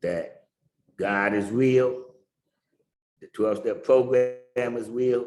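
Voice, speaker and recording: Amid audible room echo, a man speaks at a medium pitch and a very slow pace, with fairly even intonation and long, frequent pauses. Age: 60s. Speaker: recovering addict sharing his story. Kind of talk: testimony.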